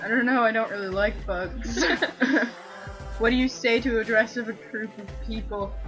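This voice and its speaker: Speaking at a moderate pace in a Canadian accent, the voice leaves long, frequent pauses over clear music in the background. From Canada. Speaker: vlogger. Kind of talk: casual talk to camera. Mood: playful, joking. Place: home room. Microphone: webcam.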